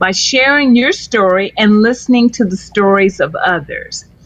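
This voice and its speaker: Lively intonation and a somewhat breathy, fairly high female voice, delivered at a moderate pace. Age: 60s. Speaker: storyteller. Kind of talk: interview.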